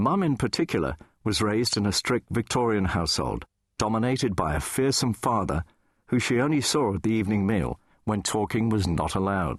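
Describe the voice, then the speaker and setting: A man speaks at a fairly low pitch with lively intonation and vocal fry. The sound is dry and close with no echo, the loudness very even, and the background quiet. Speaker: radio DJ. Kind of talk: audiobook memoir reading.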